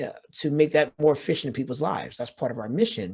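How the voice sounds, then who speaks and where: This man's voice sits fairly high, with a dark, mellow tone and ordinary pitch variation. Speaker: business founder and health tech speaker. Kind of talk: webinar presentation. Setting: online webinar. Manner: fast.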